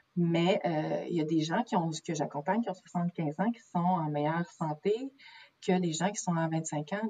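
A woman with a Quebec accent speaks at a fairly slow pace and fairly low pitch, her tone dark and mellow. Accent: Québécois French. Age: 30s. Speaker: naturopath. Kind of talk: interview. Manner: halting.

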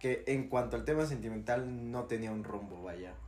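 A man with a medium-pitched voice talks in a room with audible echo. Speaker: university student podcast co-host. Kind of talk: casual chat.

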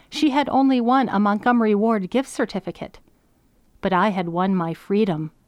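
Against a quiet background, a woman speaks with a plain, everyday voice at a medium pitch and a moderate pace. Her intonation is lively and her loudness very even. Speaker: essayist. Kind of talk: reading aloud.

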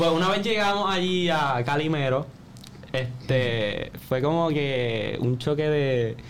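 A man speaks at a very slow pace with lively intonation and very even loudness, with audible room echo and noticeable background noise. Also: fairly high pitch for a man. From Puerto Rico, Jayuya. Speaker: podcast co-host. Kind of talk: casual chat.

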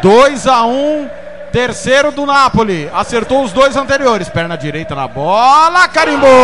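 A man speaks in a raised, projected voice at an extremely high pitch, swinging very widely in pitch. Noticeable background noise runs underneath. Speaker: radio match narrator. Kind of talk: live radio football commentary, penalty shootout. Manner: dramatic, rising call at each kick, drawn-out goal shouts.

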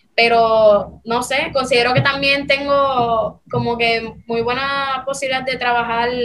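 Against audible room echo, a woman speaks at a very slow pace in a fairly high pitch. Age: young. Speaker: journalism student. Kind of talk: interview.

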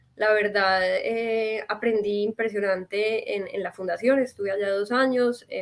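With fairly even intonation, a woman speaks at a medium pitch and a moderate pace in an unremarkable speaking voice. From Colombia, Medellín. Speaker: NGO worker. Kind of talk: interview.

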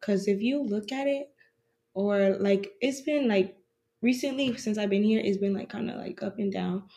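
Quiet and medium in pitch, a woman talks at a moderate pace with ordinary pitch variation. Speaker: university student. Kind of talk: casual chat.

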